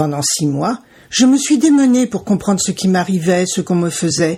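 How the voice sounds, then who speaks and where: In a very clean recording with a silent background, a woman speaks at a moderate pace and medium pitch, her somewhat breathy voice dark and mellow in tone with lively intonation. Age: 60s. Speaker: podcast host, cancer survivor. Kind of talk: scripted podcast intro. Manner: formal.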